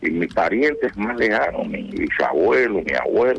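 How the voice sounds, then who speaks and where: A man speaks at a moderate pace, and noticeable background noise is present throughout. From Cuba. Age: 80s+. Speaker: retired general and author. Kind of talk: radio interview.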